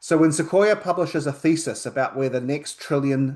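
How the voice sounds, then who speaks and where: A man with a New Zealand accent speaks at a fairly slow pace. His intonation is lively. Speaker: accountant. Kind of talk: webinar presentation.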